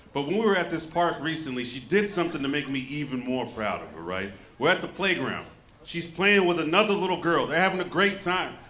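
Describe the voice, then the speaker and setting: Over noticeable background noise, a man with an American accent speaks fairly quickly in a high pitch with ordinary pitch variation. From Southern United States. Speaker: stand-up comedian. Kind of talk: stand-up comedy set.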